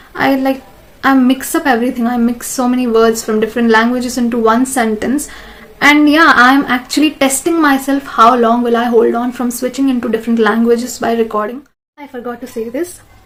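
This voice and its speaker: High-pitched woman at a fairly quick pace, fairly even intonation, noticeable background noise. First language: non-English mother tongue (trilingual). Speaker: vlogger. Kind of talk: casual monologue to camera. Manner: halting, self-correcting.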